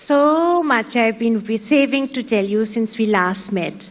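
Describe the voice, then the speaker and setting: At a fairly slow pace, a woman says her lines. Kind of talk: humorous reading. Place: stage. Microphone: handheld.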